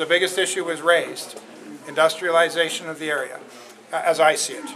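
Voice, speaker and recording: A man with a fairly high pitch talks at a fairly quick pace, with audible room echo and noticeable background noise. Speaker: company executive. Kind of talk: public Q&A. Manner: loud; halting.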